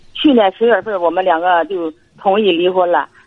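A woman is speaking. Her pace is moderate. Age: 60s. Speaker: retired caller seeking advice. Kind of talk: phone-in advice call. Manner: halting.

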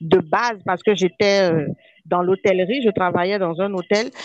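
At a very slow pace, a woman speaks with a dry, close sound with no echo. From Benin. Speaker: podcast co-host, life coach. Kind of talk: casual chat.

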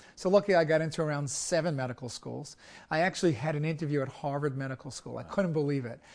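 This man talks at a very fast pace with a New York accent. His pitch sits fairly high and varies in an ordinary way. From US, Brooklyn, New York. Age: old. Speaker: surgeon. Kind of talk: interview.

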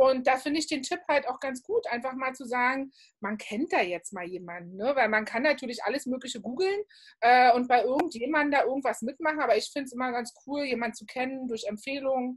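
Her pitch high and her intonation lively, a woman speaks at a fairly quick pace with big swings in loudness. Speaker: podcast host. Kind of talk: casual interview. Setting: home office, remote recording.

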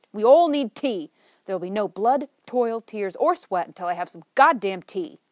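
A woman performs a booming put-on character voice at a fairly high pitch, her pitch swinging very widely. She keeps a moderate pace, and the sound is dry and close with no echo. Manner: brusque, emphatic.

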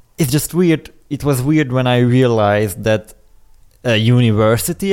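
A man with a Hungarian accent, lively intonation and a moderate pace. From Hungary. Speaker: podcast co-host.

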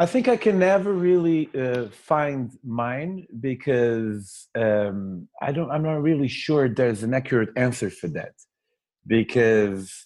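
Against a quiet background, a man of medium pitch speaks at a very slow pace. He has a Portuguese accent and lively intonation. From Portugal, near Porto. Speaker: travel author and podcast host. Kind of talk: interview. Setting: video call.

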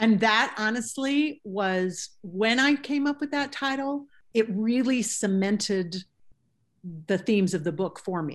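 A woman speaks fairly slowly in an ordinary speaking voice, fairly high in pitch with lively intonation, over a quiet background. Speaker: novelist. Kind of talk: interview.

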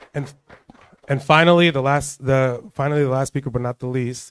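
Fairly high in pitch, this man has an ordinary speaking voice with fairly even intonation. The sound is dry and close with no echo. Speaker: press attache. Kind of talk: event introduction. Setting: event at consulate.

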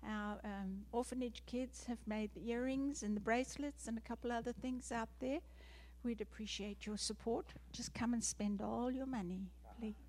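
A woman with a South African accent at a moderate pace. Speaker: missionary. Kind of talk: testimony. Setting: church.

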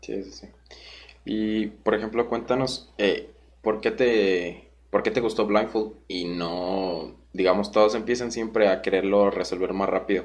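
A man with an ordinary speaking voice and a fairly low pitch talks at a fairly slow pace with fairly even intonation. His volume rises and falls sharply. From Guanajuato, Mexico. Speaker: podcast host, speedcuber. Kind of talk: casual interview.

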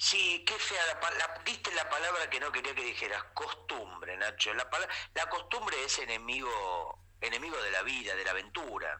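A man talks with an Argentine accent at a moderate pace. There is noticeable background noise. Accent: Rioplatense Argentine Spanish. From Argentina. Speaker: comedian and writer. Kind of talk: comedic casual chat. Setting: WhatsApp call.

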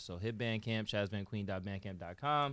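A man with a New York accent, fairly low in pitch with a bright, sharp tone at a moderate pace, on a very clean recording with a silent background. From New York, the Bronx. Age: 30s. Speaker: musician and producer. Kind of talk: interview. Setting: studio.

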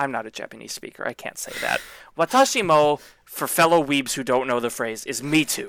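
With an ordinary speaking voice, a man at a fairly high pitch talks at a fairly quick pace, showing ordinary pitch variation and big swings in loudness. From US South. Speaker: podcast co-host. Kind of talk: casual chat.

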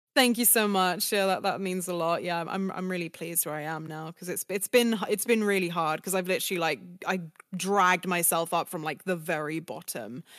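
A woman speaks with a British accent at a fairly quick pace. Her pitch is fairly low, with ordinary pitch variation. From UK. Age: 20s. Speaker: voice actress. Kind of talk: interview. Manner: fast, many fillers.

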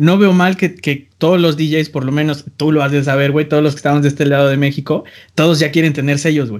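A man with an ordinary speaking voice, fairly even intonation and a fairly quick pace. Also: fairly high pitch for a man, very clean recording, silent background. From Mexico, small town. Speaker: podcast host and music producer. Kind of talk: casual chat.

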